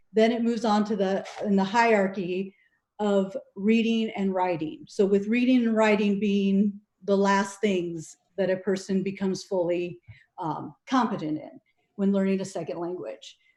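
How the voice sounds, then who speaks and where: The speaker has a dark, mellow tone, fairly even intonation and a moderate pace. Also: woman, medium pitch for a woman. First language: Spanish. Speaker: city council member. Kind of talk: council meeting remarks. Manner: halting, many fillers.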